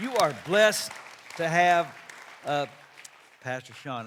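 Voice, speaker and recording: A man's fairly high voice with lively intonation at a fairly slow pace, over crowd noise in the background. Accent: Texas. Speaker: pastor. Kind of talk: sermon.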